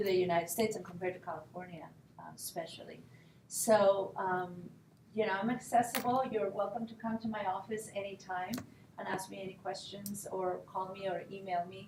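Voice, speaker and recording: With a Spanish accent, a woman speaks at a fairly quick pace and fairly even intonation, amid noticeable background noise and audible room echo. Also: medium pitch for a woman. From Spain, Madrid. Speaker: Spanish professor. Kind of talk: informational presentation. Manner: casual, hesitant with many fillers.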